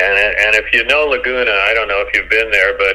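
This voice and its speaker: With an American accent, a man speaks over noticeable background noise. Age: 70s. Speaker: former beach volleyball player. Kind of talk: interview. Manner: halting.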